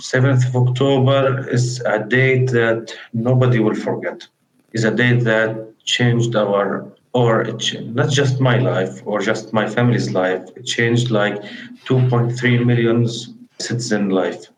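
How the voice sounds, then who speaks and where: Somewhat breathy and flat, with monotone intonation, the voice moves at a fairly slow pace through audible room echo. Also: man, medium pitch for a man. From Gaza, Palestine. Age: 20s. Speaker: war refugee interviewee. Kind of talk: testimony interview. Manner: halting, with hesitations.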